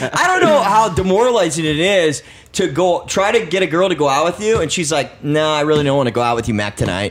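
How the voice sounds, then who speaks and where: A man with a high voice talks very fast in an animated tone, his pitch swinging very widely over noticeable background noise. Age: 30s. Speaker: actor and model. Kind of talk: casual chat.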